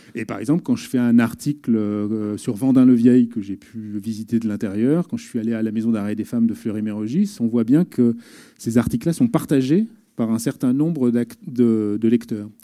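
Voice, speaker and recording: The man's medium-pitched voice carries a dark, mellow tone. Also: ordinary pitch variation, moderate pace. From northern France. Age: 40s. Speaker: journalist. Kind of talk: talk to students. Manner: halting.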